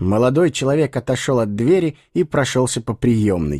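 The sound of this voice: An unforced reading voice, its intonation lively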